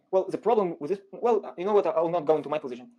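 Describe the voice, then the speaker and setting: In an Israeli accent, a man talks at a very fast pace with a high pitch, a dark, mellow tone and ordinary pitch variation. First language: Hebrew. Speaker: guest debater. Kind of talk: heated debate.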